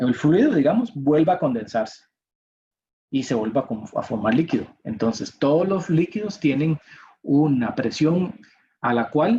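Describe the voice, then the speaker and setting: Somewhat breathy and dark, mellow in tone, a man speaks fairly slowly at a fairly high pitch with very wide pitch swings. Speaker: university professor. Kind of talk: lecture.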